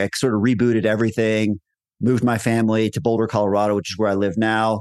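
Over a quiet background, a man with an American accent talks at a fairly quick pace in an ordinary speaking voice of medium pitch. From Texas. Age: 50s. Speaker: entrepreneur. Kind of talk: interview conversation.

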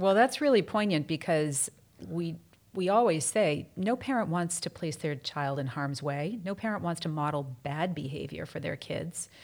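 On a very clean recording with a silent background, a woman with an unremarkable speaking voice talks at a moderate pace and fairly low pitch with lively intonation. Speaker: podcast host and prevention program director. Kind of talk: interview, casual conversation.

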